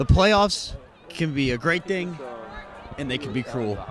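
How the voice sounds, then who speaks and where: A man with a high pitch and very wide pitch swings, talking at a fairly slow pace amid noticeable background noise. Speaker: sports reporter. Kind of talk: post-game sports wrap-up. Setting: outdoors.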